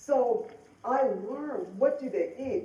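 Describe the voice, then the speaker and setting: The speaker has an American accent, and audible room echo surrounds the voice. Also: woman. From Denver, Colorado. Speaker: motivational speaker and author. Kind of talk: conference talk.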